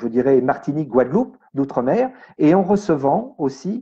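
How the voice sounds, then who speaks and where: A man's fairly high voice with a dark, mellow tone, lively intonation and a fairly slow pace over a quiet background. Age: 60s. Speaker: medium and energy healer. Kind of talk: radio interview. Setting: radio studio.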